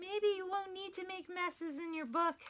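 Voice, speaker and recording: A woman puts on a squeaky character voice at an extremely high pitch. She keeps a moderate pace. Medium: read story. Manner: warm, reassuring.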